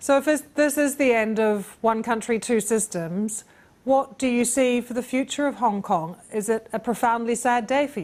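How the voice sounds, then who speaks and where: Heard in a very clean recording against a silent background, this is an ordinary speaking voice at a moderate pace with ordinary pitch variation. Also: woman, fairly high pitch for a woman. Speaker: news presenter. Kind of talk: news interview questions.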